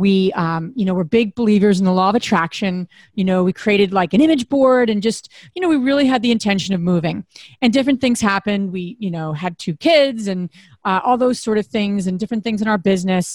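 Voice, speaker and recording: A somewhat breathy, medium-pitched woman's voice at a fairly quick pace, very clean with a silent background and a dry, close sound with no echo. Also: ordinary pitch variation. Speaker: podcast co-host. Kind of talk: casual interview.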